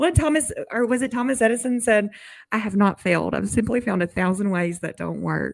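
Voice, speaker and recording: A woman's medium-pitched voice with vocal fry, fairly quick and lively in intonation. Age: 30s. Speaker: writer and artist, podcast guest. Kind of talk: casual chat.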